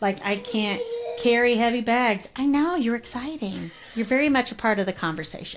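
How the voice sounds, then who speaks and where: Music plays in the background as a woman speaks at a moderate pace. Her pitch is fairly high and her intonation lively. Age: 40s. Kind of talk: casual interview conversation. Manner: animated storytelling.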